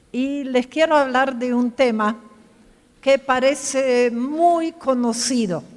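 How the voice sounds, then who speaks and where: Lively intonation at a very slow pace, with a German accent. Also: woman. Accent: German-tinged Spanish, lasting. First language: German (speaking Spanish). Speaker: pastor. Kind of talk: sermon. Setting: church. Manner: conversational, asks audience questions.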